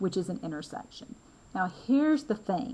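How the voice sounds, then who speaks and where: A woman with an American accent, somewhat breathy, at medium pitch and a moderate pace. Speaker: math instructor. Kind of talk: lecture. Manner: casual, conversational.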